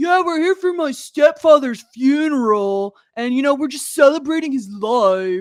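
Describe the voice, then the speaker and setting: A put-on character voice with a Canadian accent speaks at a high pitch and a moderate pace. Its tone is cheerful, with lively intonation. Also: hardly any pauses. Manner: cheerful, oblivious, bad impression.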